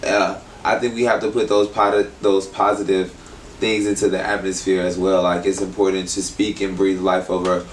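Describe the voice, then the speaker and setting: A man with an American accent speaks in a fairly low pitch, with noticeable background noise behind him. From Texas, Houston. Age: 30s. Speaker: creative artist and stylist. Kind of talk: casual interview. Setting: in-person interview at a venue.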